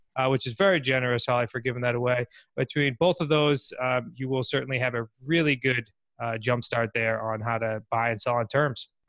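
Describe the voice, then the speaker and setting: A man with an unremarkable speaking voice and a medium pitch talks at a fairly quick pace with fairly even intonation, in a dry, close sound with no echo. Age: 20s. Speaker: real estate investor and coach. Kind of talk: interview.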